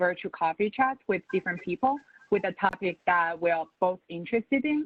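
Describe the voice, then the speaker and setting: This woman has a non-native accent, a medium pitch, a moderate pace and ordinary pitch variation. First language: not English. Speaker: finance professional. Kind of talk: panel webinar.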